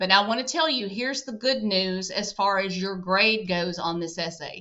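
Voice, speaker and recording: At a moderate pace, a woman with a Southern US accent talks at medium pitch with ordinary pitch variation. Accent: very Southern. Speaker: college instructor. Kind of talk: course introduction lecture. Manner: casual, conversational.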